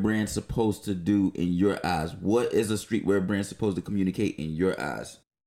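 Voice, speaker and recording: A man with an American accent speaks in a normal speaking voice at a moderate pace, his fairly low pitch moving with ordinary variation and hardly any pauses, on a very clean recording with a silent background. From North Carolina. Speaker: podcast co-host. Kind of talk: casual chat.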